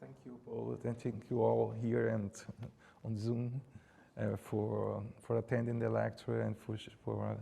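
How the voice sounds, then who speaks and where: Delivered at a fairly slow pace with long, frequent pauses, the speech comes in a Brazilian Portuguese accent. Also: man. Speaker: art curator. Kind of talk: Q&A after lecture. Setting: lecture hall, also streamed on Zoom. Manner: halting, with false starts.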